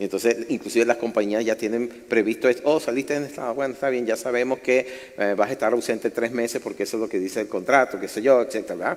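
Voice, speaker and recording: Amid noticeable background noise, a man at medium pitch talks very fast with fairly even intonation. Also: hardly any pauses. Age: 60s. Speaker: pastor. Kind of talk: sermon. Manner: conversational, engaging audience.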